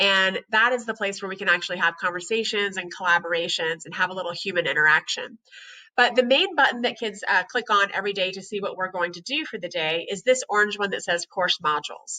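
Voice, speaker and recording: Speaking at a very fast pace, a woman with a bright, sharp tone and medium pitch shows ordinary pitch variation and big swings in loudness. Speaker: high school English teacher. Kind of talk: recorded presentation for parents.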